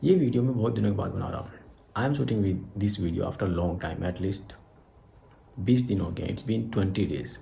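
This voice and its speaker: A man speaks fairly quickly in a dark, mellow, somewhat breathy voice pitched fairly low, with long, frequent pauses. Audible room echo surrounds the recording. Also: lively intonation. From India, Haryana. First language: Hindi (Khari Boli dialect). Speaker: English teacher YouTuber. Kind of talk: tutorial vlog, mixed Hindi and English. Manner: halting, self-correcting.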